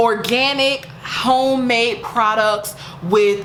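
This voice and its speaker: A woman with a fairly high pitch is heard with audible room echo and noticeable background noise. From US South, rural. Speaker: lifestyle YouTuber. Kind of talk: casual vlog with product promotion. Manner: animated.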